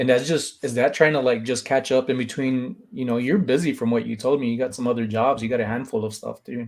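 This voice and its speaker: Talking at a very fast pace with hardly any pauses, a man uses a medium pitch and fairly even intonation. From Filipino heritage. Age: 40s. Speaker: live-stream host interviewing a reseller. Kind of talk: casual live-stream chat. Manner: casual, conversational.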